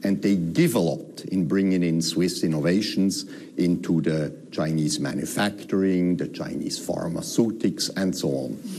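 There is noticeable background noise and audible room echo. The pace is fairly slow. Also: man. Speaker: diplomat. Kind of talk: interview. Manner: hesitant, many fillers.

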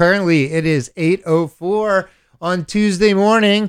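A man speaks at a moderate pace. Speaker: radio host. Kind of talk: radio talk show. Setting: radio studio. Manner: halting.

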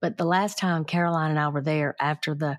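An unremarkable speaking voice at a fairly quick pace, with ordinary pitch variation, on a very clean recording over a silent background. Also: woman. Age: 60s. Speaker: podcast host, crime reporter. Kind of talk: interview.

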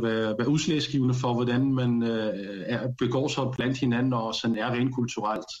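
His pitch is medium and his speaking voice an unremarkable one. The man keeps a moderate pace. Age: 30s. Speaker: panel guest. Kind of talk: casual discussion. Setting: studio.

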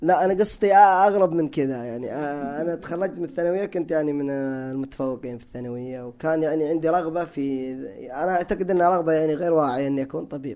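Speaking very fast, a man with a fairly high pitch and a dark, mellow tone shows ordinary pitch variation. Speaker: electrical engineer and language enthusiast. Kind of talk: casual interview conversation. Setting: studio.

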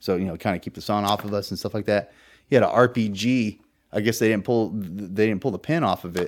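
With an American accent, a man talks in a fairly low pitch with ordinary pitch variation on a very clean recording with a silent background. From small-town California. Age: 30s. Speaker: war veteran. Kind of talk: interview conversation. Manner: hesitant, many fillers.

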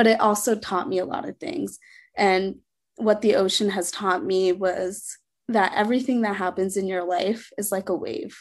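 Against a quiet background, a woman with an American accent talks in a plain, everyday voice at a medium pitch with ordinary pitch variation. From Sri Lanka, raised later in US. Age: 20s. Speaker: foster care alumna and author. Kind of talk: interview testimony.

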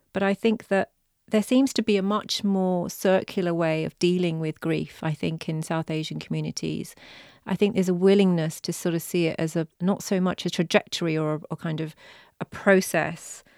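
With a British accent and fairly even intonation, a woman of fairly low pitch talks at a moderate pace in a very clean recording with a silent background and a dry, close sound with no echo. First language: Punjabi. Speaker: poet and novelist, former human rights lawyer. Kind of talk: interview conversation. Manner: halting, with repetitions.

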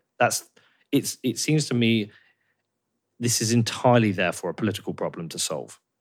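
A man with an English accent speaks at a moderate pace with ordinary pitch variation. His pauses are long and frequent. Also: medium pitch for a man. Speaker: podcast host. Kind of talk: interview.

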